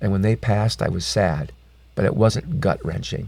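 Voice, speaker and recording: A man talks at a moderate pace in a fairly low pitch with a dark, mellow tone. His pitch swings very widely, and there is vocal fry. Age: 60s. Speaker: faith testimony guest. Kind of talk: testimony.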